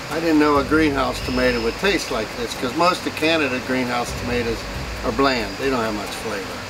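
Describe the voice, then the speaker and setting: With an American accent, a man talks at a medium pitch and a fairly quick pace, with ordinary pitch variation. The recording carries audible room echo and noticeable background noise. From western Pennsylvania. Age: 60s. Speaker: farmer. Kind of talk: casual farm tour talk. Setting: outdoors on the farm and in greenhouses.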